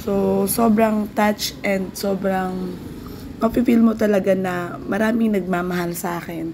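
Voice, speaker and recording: At a fairly slow pace, a woman speaks at a medium pitch with audible room echo and noticeable background noise. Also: fairly even intonation. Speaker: vlogger and small business owner. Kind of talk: casual vlog talk. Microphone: no microphone, voice hard to hear.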